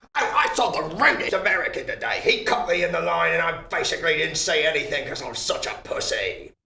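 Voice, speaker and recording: In a put-on character voice with a British accent, this raspy speaker talks at a very fast pace with hardly any pauses. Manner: complaining, indignant.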